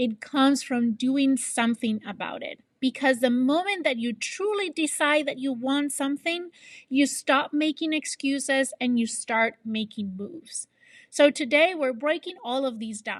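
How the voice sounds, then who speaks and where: The speaker, with a non-native accent, talks at a fairly slow pace with ordinary pitch variation in a dry, close sound with no echo against a quiet background. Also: woman, high pitch for a woman. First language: not English. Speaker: podcast host, HR professional and fitness coach. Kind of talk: solo motivational podcast.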